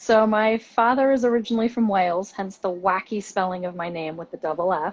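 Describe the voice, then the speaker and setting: With a slight English accent, a woman talks at a fairly quick pace with hardly any pauses, at a medium pitch and with ordinary pitch variation. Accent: slight English accent in some words. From Washington DC and England. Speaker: university admissions director. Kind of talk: interview.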